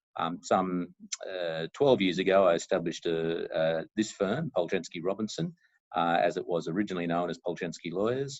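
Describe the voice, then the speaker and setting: In an Australian accent, a man speaks at a moderate pace in a very deep, low voice with ordinary pitch variation. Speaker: lawyer. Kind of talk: interview. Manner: halting, many fillers and repeats.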